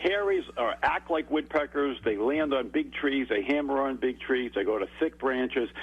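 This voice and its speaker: A man talks at a moderate pace. He has an American accent. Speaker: bird expert. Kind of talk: radio interview.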